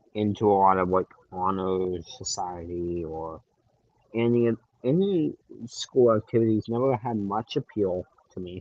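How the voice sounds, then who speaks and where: A man's fairly low voice at a fairly slow pace, with ordinary pitch variation and long, frequent pauses. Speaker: livestreamer. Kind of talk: casual chat. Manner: rambling, hesitant.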